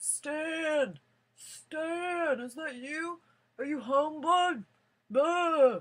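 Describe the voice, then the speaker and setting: A woman in a put-on character voice shouts loudly at a high pitch and a very slow pace. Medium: solo performance. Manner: loud, shouting.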